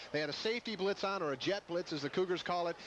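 A man with a high pitch talks at a very fast pace with ordinary pitch variation, and noticeable background noise sits behind him. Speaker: color analyst, former player. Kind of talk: color commentary, casual analysis alongside play-by-play. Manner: conversational, relaxed, explanatory.

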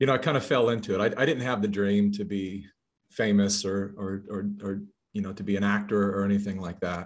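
A man with a fairly low voice speaks at a fairly quick pace, keeping his intonation fairly even. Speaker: interview guest. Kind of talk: interview answer. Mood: reflective, personal. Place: home room.

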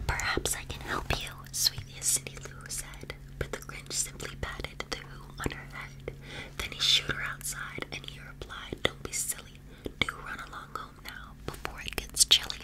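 Soft-spoken and whispering, a woman can be heard against noticeable background noise. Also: moderate pace. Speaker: storybook reader. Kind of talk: reading a story aloud, soft ASMR-like storytelling. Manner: soft ASMR whisper, storytelling. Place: home room.

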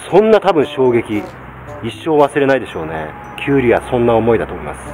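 The man rushes along at a very fast pace, his loudness swinging widely, while noticeable noise fills the background. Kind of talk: casual vlog chat, tutorial. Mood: humorous, animated storytelling. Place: farm machine. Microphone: phone near.

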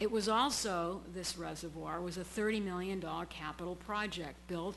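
Speaking at a fairly quick pace with an audible room echo, a woman with a New England accent keeps a medium pitch and fairly even intonation. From Massachusetts, Brockton (South Shore). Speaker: public commenter at city council. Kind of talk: public comment at council meeting. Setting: city council chamber.

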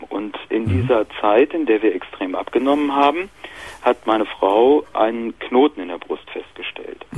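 An ordinary speaking voice from a man at medium pitch, fairly slow in pace, with ordinary pitch variation and a dry sound with no echo. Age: 30s. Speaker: caller.

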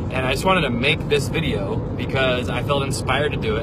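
A man talks at a very fast pace in a dry sound with no echo, over loud background noise. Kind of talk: casual vlog chat. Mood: warm, appreciative. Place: car. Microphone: phone near.

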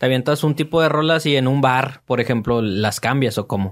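A man with a Mexican accent speaks at a moderate pace and ordinary pitch variation over a quiet background. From Mexico. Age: 30s. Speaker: podcast host. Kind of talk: casual interview. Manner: animated. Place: studio. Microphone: studio mic.

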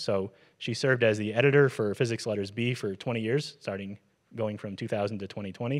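Against a quiet background, a man talks at a moderate pace with fairly even intonation. He has a normal speaking voice, fairly low in pitch. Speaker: event host introducing the lecturer. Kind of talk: speaker introduction. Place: hall. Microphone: handheld.

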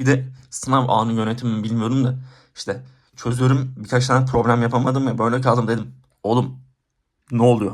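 Audible room echo surrounds a man speaking at a moderate pace in a monotone, flat intonation. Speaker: student vlogger. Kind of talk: casual vlog monologue.

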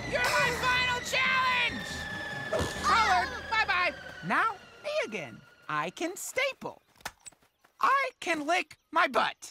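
A cartoonish character voice at a fairly slow pace, with music in the background. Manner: eager, upbeat, salesman-like.

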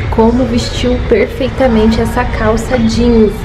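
The speaker is a woman. Music can be heard clearly behind her. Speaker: fashion vlogger. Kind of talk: casual vlog chat. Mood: cheerful, enthusiastic. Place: shop. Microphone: phone near.

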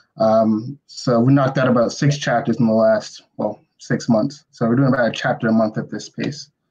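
Intonation stays fairly even as a man talks at a moderate pace with hardly any pauses. The background is quiet. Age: 20s. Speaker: comic book writer. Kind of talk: casual interview. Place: home room. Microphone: video call.

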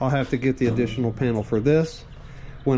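Light background noise behind a man speaking. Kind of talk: casual tutorial walkthrough. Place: garage. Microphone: phone near.

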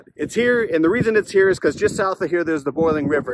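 Against noticeable background noise, a man speaks very fast with ordinary pitch variation, in a dry sound with no echo. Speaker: treasure hunting vlogger. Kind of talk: casual vlog chat. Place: street. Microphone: phone near.

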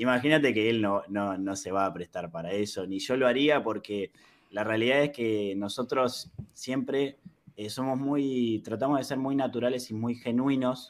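Speaking at a moderate pace, a man lets his pitch rise and fall in an ordinary way. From Argentina. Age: 30s. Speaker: YouTuber. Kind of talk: interview. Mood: calm, reflective. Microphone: video call.

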